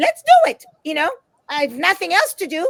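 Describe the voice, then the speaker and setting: A woman talks at a moderate pace in an Israeli accent. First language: Hebrew. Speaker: author and motivational speaker. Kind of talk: interview. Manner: animated.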